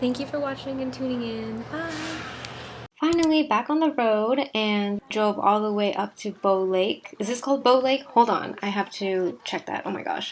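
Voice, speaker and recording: Over noticeable background noise, the speaker talks at a moderate pace with lively intonation. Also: woman. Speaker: travel vlogger. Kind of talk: casual travel vlog voiceover. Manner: a little sarcastic.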